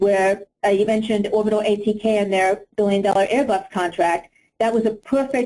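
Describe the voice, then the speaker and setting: A woman's very fast delivery, dark and mellow in tone, with ordinary pitch variation. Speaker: industry conference speaker. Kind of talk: conference presentation; Q&A answer. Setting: conference session.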